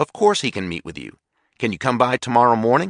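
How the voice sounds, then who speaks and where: A man's growling put-on character voice at medium pitch, with very wide pitch swings and a very fast pace, against a quiet background. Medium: read story. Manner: cheerful, unruffled.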